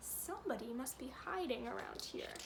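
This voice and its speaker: Someone performs a put-on character voice over loud background noise. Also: woman, high pitch for a woman, moderate pace. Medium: read story.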